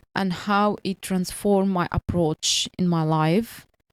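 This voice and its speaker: A woman with a non-native accent speaks very slowly with fairly even intonation, in a dry, close sound with no echo and a very clean recording with a silent background. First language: not English. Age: 30s. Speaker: podcaster on language learning and career. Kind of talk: personal monologue. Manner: halting.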